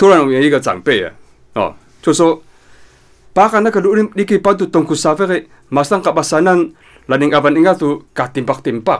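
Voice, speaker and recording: A man's high-pitched voice at a fairly quick pace, with ordinary pitch variation and long, frequent pauses. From Taiwan, Nantou mountains (Bunun community). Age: 40s. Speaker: author. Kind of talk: interview. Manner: many filler sounds and hesitations.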